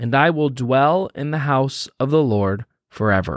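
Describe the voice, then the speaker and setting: In a very clean recording with a silent background and a dry, close sound with no echo, a man speaks at a medium pitch. His tone is gentle and warm, his intonation lively, and his pace fairly slow. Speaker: pastor. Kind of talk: guided devotional prayer with scripture reading, fervent prayer. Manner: earnest, warm, fervent and intimate in prayer; gentle, encouraging, conversational with some fillers.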